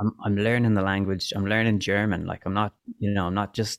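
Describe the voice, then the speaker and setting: Recorded with a dry, close sound and no echo, a man with a Dublin accent talks at a fairly quick pace and a fairly low pitch. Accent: Dublin Irish. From Ireland, Dublin. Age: 30s. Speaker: musician. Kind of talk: casual chat. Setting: video call.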